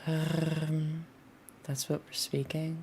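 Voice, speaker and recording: Music plays behind a woman who speaks very slowly in a very deep, low voice. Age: 20s. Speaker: video game streamer. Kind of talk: casual chat.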